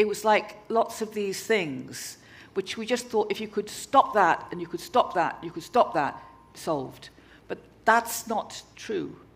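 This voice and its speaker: This woman talks at a fairly slow pace. Her fairly high pitch moves in very wide swings. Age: 60s. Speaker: arts festival founder. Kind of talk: on-stage interview. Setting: stage with audience. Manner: halting.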